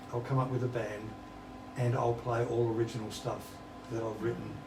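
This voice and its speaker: With an Australian accent, a man speaks at medium pitch over noticeable background noise, with audible room echo. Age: 70s. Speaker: musician. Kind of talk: interview.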